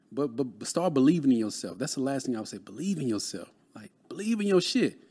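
A very fast-talking man with a Texas accent in a very clean recording with a silent background. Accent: Southern US, Texas. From Texas, Dallas. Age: 30s. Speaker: real estate broker and mentor. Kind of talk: casual interview chat.

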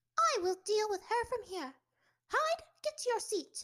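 A woman uses a put-on character voice that is squeaky and extremely high in pitch. Her pitch swings very widely while she keeps a moderate pace. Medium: read story. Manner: stern, clipped, formal.

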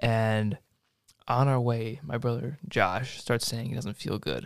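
Here a man talks in a normal speaking voice, his pitch medium and its variation ordinary. Nothing sounds behind him on this very clean recording. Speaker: podcast host. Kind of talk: casual chat. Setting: studio.

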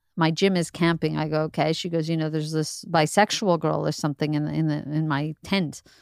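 A woman talks at a fairly quick pace with hardly any pauses, her very deep, low voice monotone and flat. The recording is very clean, with a silent background. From Montreal, Canada. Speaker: comedian. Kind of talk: casual chat.

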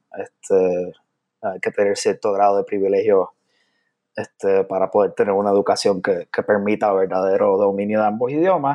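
A man with a Puerto Rican accent talks at a moderate pace. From Puerto Rico, San Juan. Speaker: poet. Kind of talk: interview conversation. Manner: hesitant, many fillers.

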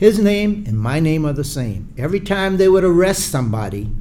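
With audible room echo, a man in a South Carolina accent talks at a moderate pace with lively intonation. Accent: Southern US (South Carolina). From US South, Charleston, South Carolina. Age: 70s. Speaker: retired Air Force colonel, civil rights activist. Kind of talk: interview.

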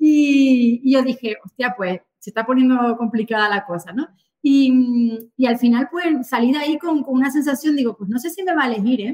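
A woman with a high voice speaks at a moderate pace, with hardly any pauses and ordinary pitch variation. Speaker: real estate agent. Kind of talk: interview. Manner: animated.

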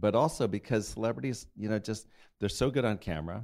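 This man has an unremarkable speaking voice at a fairly low pitch, with ordinary pitch variation. The recording is very clean, with a silent background. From Colorado, US. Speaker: TV documentary producer. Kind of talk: interview.

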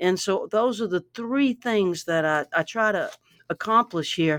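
In an ordinary speaking voice, a woman with an American accent speaks at a medium pitch and fairly slow pace with lively intonation, in a dry, close sound with no echo on a very clean recording with a silent background. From US South, Louisiana. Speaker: songwriter and author. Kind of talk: interview about her book, with reading aloud.

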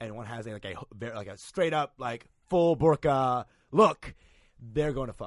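A man with an American accent speaks at a medium pitch with ordinary pitch variation. It is an unremarkable speaking voice. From Texas. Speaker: comedian.

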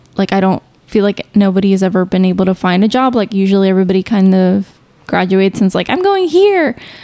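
Speech races at a very fast pace with fairly even intonation and very even loudness. Noticeable background noise runs underneath. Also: woman, medium pitch for a woman. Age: 20s. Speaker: podcast co-host, graduate student. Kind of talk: casual chat.

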